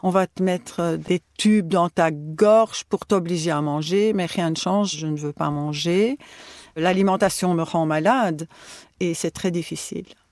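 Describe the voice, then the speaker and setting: A woman speaks in an ordinary speaking voice at a fairly slow pace with ordinary pitch variation. The recording is very clean, with a silent background and a dry, close sound with no echo. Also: fairly low pitch for a woman. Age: 60s. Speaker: retired teacher, patient. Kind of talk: personal testimony.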